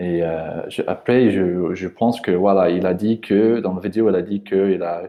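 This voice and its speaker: In a non-native accent, a man speaks with a fairly low voice and fairly even intonation. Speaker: language trainer. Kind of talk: tutorial. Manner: halting, many hesitations.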